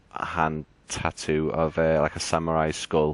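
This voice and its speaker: Against a quiet background, a man with a very deep, low voice talks at a fairly slow pace in a dry, close sound with no echo. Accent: Liverpool. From northern England, Liverpool. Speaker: gaming channel host. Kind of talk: casual gaming chat. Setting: live stream with party chat. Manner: hesitant, many fillers.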